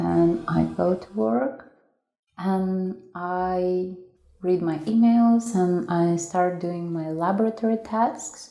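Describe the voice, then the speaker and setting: A woman speaks at a fairly low pitch in a dark, mellow tone with ordinary pitch variation. Room echo is audible. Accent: Lithuanian. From Lithuania, Vilnius. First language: Lithuanian. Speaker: foreign student. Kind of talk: documentary interview.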